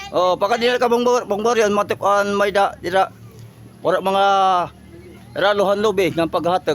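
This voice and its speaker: A man with a high voice keeps very even loudness, moderate pace and ordinary pitch variation, broken by long, frequent pauses. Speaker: vlogger. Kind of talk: walking vlog. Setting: outdoors. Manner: animated.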